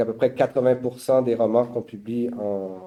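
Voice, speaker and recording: In a Quebec accent, a man speaks with a dark, mellow tone and fairly even intonation. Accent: Québécois. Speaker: publisher. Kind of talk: panel talk. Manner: halting.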